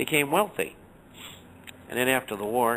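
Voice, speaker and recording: Medium in pitch, this man's voice shows ordinary pitch variation. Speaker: financial newsletter writer, radio guest. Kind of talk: radio interview. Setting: radio show.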